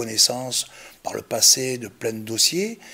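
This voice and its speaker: A man's bright, sharp tone. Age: 60s. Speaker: local election candidate. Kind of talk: interview. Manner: halting, frequent hesitations.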